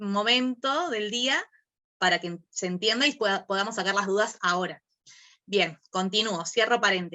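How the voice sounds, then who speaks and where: A woman with a plain, everyday voice speaks at a medium pitch and a fairly slow pace, with ordinary pitch variation. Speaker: workshop teacher. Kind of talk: online class.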